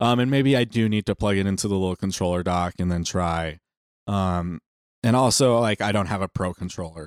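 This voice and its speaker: An unremarkable speaking voice, a man's at a fairly low pitch, goes at a fairly quick pace with ordinary pitch variation in a dry, close sound with no echo. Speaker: podcast host. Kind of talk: casual chat.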